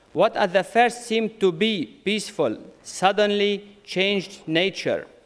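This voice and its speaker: With a non-native accent, a man speaks in a high voice. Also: fairly even intonation, fairly slow pace. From Syria. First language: Arabic. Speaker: conference speaker, community leader. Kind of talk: conference speech. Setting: conference with audience. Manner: halting.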